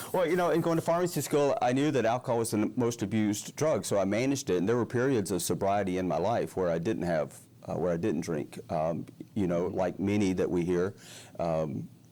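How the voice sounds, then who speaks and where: In a Southern US accent, a dark, mellow voice makes very wide pitch swings on a very clean recording with a silent background. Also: man, fairly low pitch for a man, fairly quick pace, very even loudness. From Alabama. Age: 60s. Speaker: recovering alcoholic, retired pharmacist. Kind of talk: testimony interview. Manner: halting.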